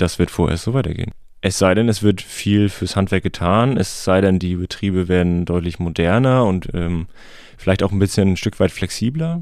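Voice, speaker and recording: The recording is very clean, with a silent background. A man with a very deep, low pitch talks at a moderate pace with ordinary pitch variation. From Schleswig-Holstein, Heikendorf near Kiel. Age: 30s. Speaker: master electrician. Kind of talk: interview. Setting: studio.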